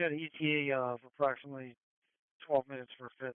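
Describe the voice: A man talks fast at a medium pitch with little pitch movement. His tone is clear and smooth, and the sound is dry and close with no echo.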